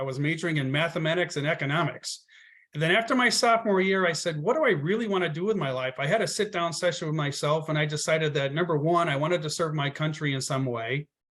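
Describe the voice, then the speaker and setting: A man with a slight Boston accent, high in pitch, at a very fast pace with ordinary pitch variation. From Connecticut, US Northeast. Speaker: travel agency owner, Air Force veteran. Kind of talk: interview.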